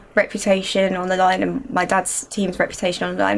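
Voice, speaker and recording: A woman with a southern English accent at a medium pitch and fairly quick pace, on a very clean recording with a silent background. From Surrey, southern England. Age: 20s. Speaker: racing driver. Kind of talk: interview answers.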